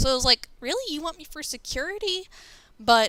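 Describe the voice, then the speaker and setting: Bright and sharp in tone, a woman with an American accent talks at a fairly quick pace. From New York. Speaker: online community member, interview guest. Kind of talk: casual chat.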